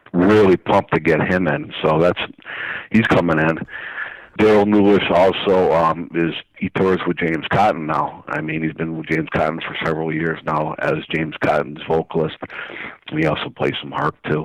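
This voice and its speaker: Noticeable background noise sits under this recording. A man with a very deep, low voice speaks at a moderate pace. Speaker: blues harmonica showcase promoter. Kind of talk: radio interview, promoting event. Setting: phone call. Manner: enthusiastic, casual.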